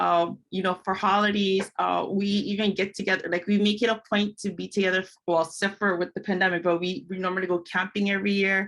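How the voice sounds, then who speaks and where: A woman's medium-pitched monotone with flat intonation, at a fairly quick pace with hardly any pauses. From Hawaii, Kauai. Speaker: empowerment coach and podcaster. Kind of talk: interview. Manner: casual, with many fillers.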